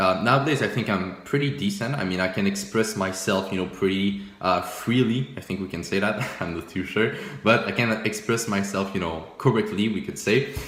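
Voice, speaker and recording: Against noticeable background noise and audible room echo, a man with a French accent and a fairly low pitch speaks at a moderate pace with ordinary pitch variation and hardly any pauses. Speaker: forex trading YouTuber. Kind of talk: casual video commentary reviewing old trades. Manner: casual, many fillers and repetitions.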